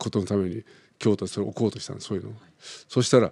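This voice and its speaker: Very fast and dark, mellow in tone, a man talks over a silent background in a very clean recording. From Philippines (Japanese-Filipino). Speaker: opera singer. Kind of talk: interview.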